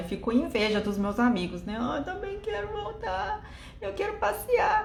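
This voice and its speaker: With a Japanese accent, a woman speaks at a moderate pace amid audible room echo and noticeable background noise. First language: Japanese (speaking Portuguese). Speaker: live stream host. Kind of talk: live stream chat.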